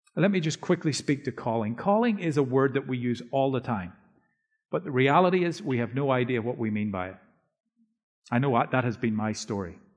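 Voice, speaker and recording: A man with a Northern Irish accent talks at a fairly quick pace and a medium pitch. His intonation is lively, and the background is quiet. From Northern Ireland. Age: 50s. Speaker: preacher and author. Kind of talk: sermon. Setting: church.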